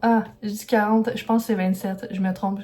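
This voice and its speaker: A woman speaks with a fairly high pitch at a fairly quick pace. Her intonation is monotone and flat. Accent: Quebec. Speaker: illustrator and vlogger. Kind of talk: vlog talking to camera. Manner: fast; hesitant, many fillers.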